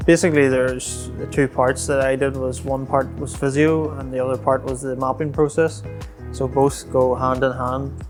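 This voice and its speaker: A man in a Northern Irish accent, medium-pitched, at a moderate pace with ordinary pitch variation and music in the background. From Northern Ireland. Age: 20s. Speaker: spinal cord injury patient. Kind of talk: interview answer.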